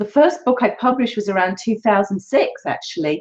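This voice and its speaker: A woman speaks in an English accent. Her intonation is lively. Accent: English accent, unchanged after years in US. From England. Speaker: author. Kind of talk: interview.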